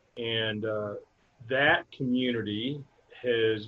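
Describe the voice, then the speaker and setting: A man speaks at a medium pitch. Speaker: nonprofit board member, interview guest. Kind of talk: casual interview answers. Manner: hesitant, filler-heavy, halting.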